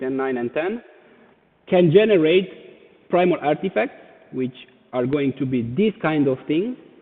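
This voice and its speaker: Someone with a Romanian accent talks at a moderate pace with ordinary pitch variation. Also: man. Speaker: NFT artist. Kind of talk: presentation. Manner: halting.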